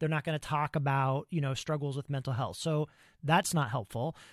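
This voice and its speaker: On a very clean recording with a silent background and a dry, close sound with no echo, a man with a normal speaking voice talks at a fairly quick pace and a fairly high pitch, his intonation fairly even. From US Midwest, Ohio. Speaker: podcast host. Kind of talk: interview conversation.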